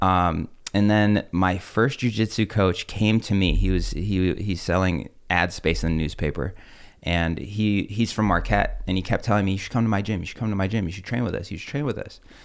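A man's fairly low voice, an ordinary speaking voice, with ordinary pitch variation at a fairly quick pace, on a very clean recording with a silent background. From Russia, moved to US. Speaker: jiu-jitsu gym owner and coach. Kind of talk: casual interview.

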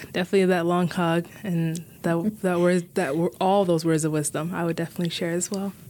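A woman with an American accent speaks in a dark, mellow tone at a fairly low pitch, moving at a fairly quick pace with flat, monotone intonation. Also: hardly any pauses. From US Midwest, Minneapolis. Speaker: student association president. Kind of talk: casual chat.

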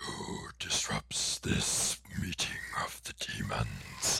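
Using a put-on character voice, a man rasps his words at a very slow pace. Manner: menacing, theatrical.

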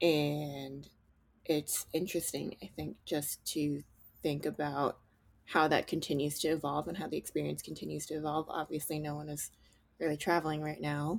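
In a very clean recording with a silent background, a woman speaks with a very deep, low pitch, vocal fry, and monotone, flat intonation. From central New Jersey. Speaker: podcast co-host, entrepreneur. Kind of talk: casual chat.

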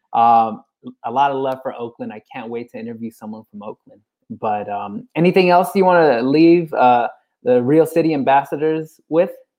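The pace is moderate. The speaker has a Californian accent. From San Francisco. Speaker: podcast host. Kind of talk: casual interview.

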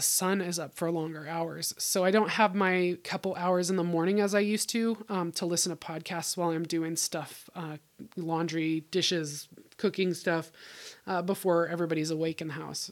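A woman's fairly low voice with a Pacific Northwest accent and monotone, flat intonation. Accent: General American (Pacific Northwest). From US Pacific Northwest, Bellingham, Washington. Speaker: podcast host, homesteader. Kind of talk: casual solo monologue.

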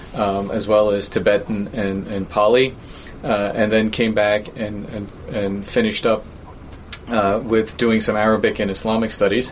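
A man's fairly low voice with a New York accent, monotone and flat at a moderate pace, over noticeable background noise. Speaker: university professor. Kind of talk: interview.

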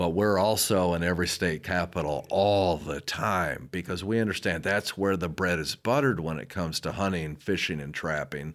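A man with an American accent speaks at a very deep, low pitch with ordinary pitch variation. His moderate pace has hardly any pauses, and the recording is very clean with a silent background. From Southwest Michigan. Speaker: hunting advocacy lobbyist. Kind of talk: interview. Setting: studio. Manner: animated.

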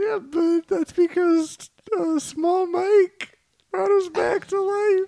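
A put-on character voice comes out slow, with vocal fry, little pitch movement and a dark, mellow tone. The sound is dry and close, with no echo.

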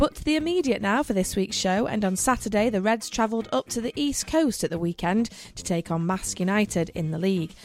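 A woman at a fairly quick pace, with lively intonation, hardly any pauses and music in the background. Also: medium pitch for a woman. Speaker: radio host. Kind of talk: scripted radio show presentation. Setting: radio studio.

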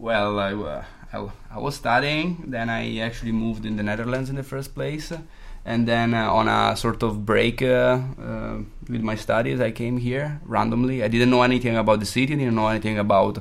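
A man with an Italian accent speaks at a moderate pace and medium pitch, with ordinary pitch variation. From Italy, Modena. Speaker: bass player in a band. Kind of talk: casual chat.

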